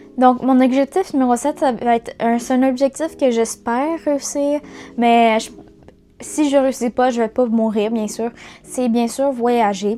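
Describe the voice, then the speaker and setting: Over music in the background, a woman with a Quebec accent speaks at a high pitch and a fairly slow pace, her intonation fairly even. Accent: Québécois French. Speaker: YouTuber, student. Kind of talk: casual vlog talk. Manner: halting, many fillers.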